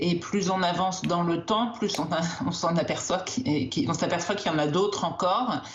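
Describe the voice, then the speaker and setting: A woman with a fairly low voice speaks with ordinary pitch variation and very even loudness, amid audible room echo and noticeable background noise. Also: moderate pace. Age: 60s. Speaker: doctor, endocrinologist. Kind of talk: TV news interview. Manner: hesitant, many filler sounds.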